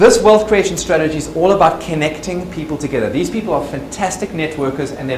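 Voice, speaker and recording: A man's fairly high voice with lively intonation at a fairly quick pace, amid audible room echo and noticeable background noise. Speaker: success trainer and speaker. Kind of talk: lunch presentation. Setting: presentation with live audience. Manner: fast.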